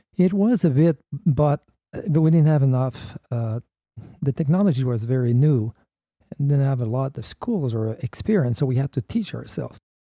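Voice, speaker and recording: In a French Canadian accent, the speaker uses lively intonation, and the sound is dry and close with no echo. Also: man, moderate pace. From Quebec, Canada. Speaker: paramotor pilot and pioneer. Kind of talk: interview. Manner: halting.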